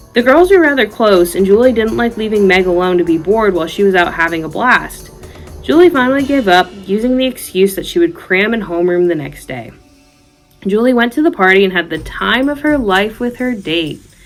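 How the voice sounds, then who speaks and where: A medium-pitched woman speaks at a fairly quick pace with lively intonation. There is music in the background. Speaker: horror storyteller and college student. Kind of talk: scary story reading.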